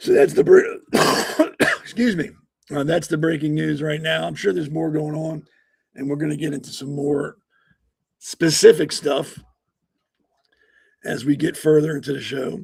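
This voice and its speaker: Somewhat breathy, a man talks at a moderate pace with ordinary pitch variation and long, frequent pauses. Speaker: podcast host. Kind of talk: casual podcast commentary. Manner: halting, with many fillers.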